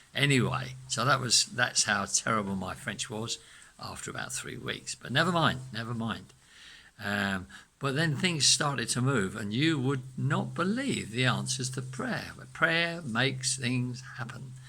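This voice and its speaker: Amid noticeable background noise, a man speaks fairly slowly at medium pitch, with ordinary pitch variation and big swings in loudness. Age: 70s. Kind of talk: testimony. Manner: halting.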